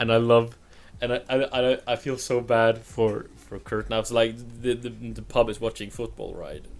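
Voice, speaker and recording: A man with a Norwegian accent speaks at a moderate pace in a medium pitch, his intonation monotone and flat while his loudness swings widely. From Norway; southern Norway. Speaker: film podcast host. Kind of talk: casual film review chat. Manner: laughs often, rambling.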